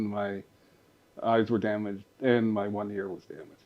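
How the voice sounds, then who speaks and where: The man's voice is fairly low, and his intonation is monotone and flat. He keeps to a moderate pace. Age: 60s. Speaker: retired blind man sharing life story. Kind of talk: interview. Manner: halting.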